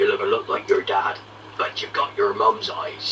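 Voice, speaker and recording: Over clear background noise, a man does a gruff, put-on character voice at an extremely high pitch and a moderate pace. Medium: read story. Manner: gruff, rustic grammar.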